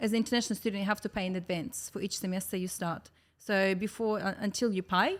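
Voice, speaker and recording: A woman talks with a Russian accent. Her pace is very fast. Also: medium pitch for a woman, fairly even intonation. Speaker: podcast guest, business owner. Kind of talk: casual chat.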